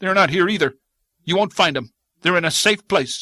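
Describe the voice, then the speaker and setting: Using a put-on character voice, a man speaks at a high pitch and moderate pace with ordinary pitch variation. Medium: read story. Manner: harsh, bitter.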